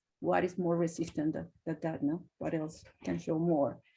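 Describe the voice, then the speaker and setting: A woman speaks with vocal fry and a dark, mellow tone, fairly low in pitch. Her intonation stays monotone and flat against a quiet background. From Colombia/Venezuela. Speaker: media artist. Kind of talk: presentation.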